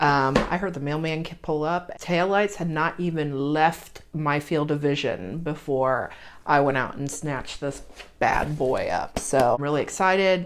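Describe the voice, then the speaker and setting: Music in the background behind a woman's very deep, low pitch, ordinary pitch variation and fairly slow pace. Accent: American. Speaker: beauty youtuber. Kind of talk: casual unboxing vlog. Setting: home.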